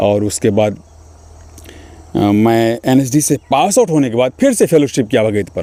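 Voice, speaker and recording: Using lively intonation, a man with a Bihar accent speaks at a medium pitch in a dark, mellow tone. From Mithila region, Bihar, India. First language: Maithili (speaking Hindi). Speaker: stage and film actor. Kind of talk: interview.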